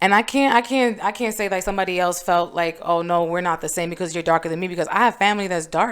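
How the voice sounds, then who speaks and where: A woman with a medium pitch and fairly even intonation talks on a very clean recording where the background is silent. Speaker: podcast co-host. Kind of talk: casual chat. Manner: loud.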